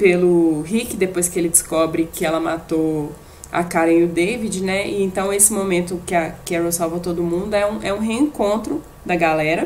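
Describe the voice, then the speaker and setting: The pace is moderate. Pitch variation is ordinary. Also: woman, fairly low pitch for a woman. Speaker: podcast co-host. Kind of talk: casual chat. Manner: halting.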